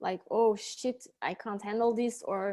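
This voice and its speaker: A woman with a Dutch accent and ordinary pitch variation, on a very clean recording with a silent background. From Belgium, Antwerp. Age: 30s. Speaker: life coach. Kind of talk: interview. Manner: halting.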